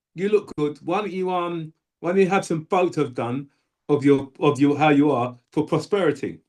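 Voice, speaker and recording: Here a man with a London accent speaks at a moderate pace. His pitch is fairly high, with ordinary variation. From South London, England. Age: 60s. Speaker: bodybuilder and powerlifter. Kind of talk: interview. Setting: video call.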